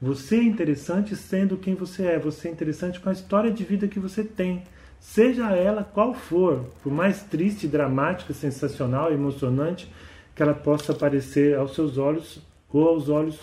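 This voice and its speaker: A man's dark, mellow voice, fairly high in pitch, at a moderate pace with ordinary pitch variation. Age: 50s. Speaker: podcast host and author. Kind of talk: monologue podcast talk.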